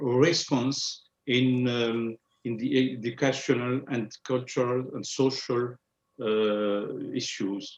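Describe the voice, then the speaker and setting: A man's medium-pitched voice in a French accent, very slow, with fairly even intonation. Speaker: president of an Islamic foundation. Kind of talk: panel discussion. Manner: halting.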